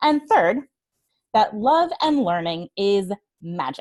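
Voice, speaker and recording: A woman's fairly high voice with very wide pitch swings, dry and close with no echo. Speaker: certified trainer and webinar speaker. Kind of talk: webinar presentation; guided breathing exercise. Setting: online webinar.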